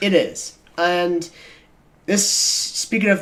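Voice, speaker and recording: A man speaks at a high pitch. There is noticeable background noise. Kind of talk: casual podcast discussion.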